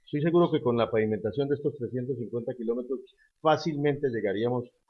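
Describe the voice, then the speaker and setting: A man's voice at medium pitch. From Colombia, Cúcuta. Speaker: politician, gubernatorial candidate. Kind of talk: interview. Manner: forceful speaking style; halting, many fillers.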